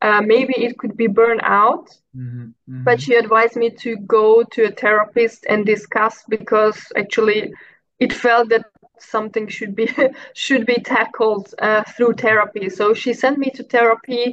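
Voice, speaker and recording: At a moderate pace, a woman speaks in a monotone, flat intonation, with dry sound free of echo and light background noise. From Hungary. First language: Hungarian. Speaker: mental health advocate; podcast guest. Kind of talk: personal testimony in interview. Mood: reflective, personal story. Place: home room. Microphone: video call.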